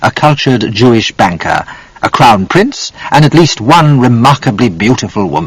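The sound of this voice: An unforced voice reads the text aloud.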